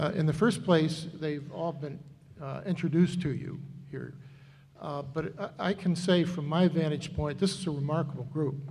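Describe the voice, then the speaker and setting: In a room with audible echo, a man with a fairly high voice speaks at a moderate pace with fairly even intonation. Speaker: finance committee member. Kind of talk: public meeting presentation. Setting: town meeting hall with microphones.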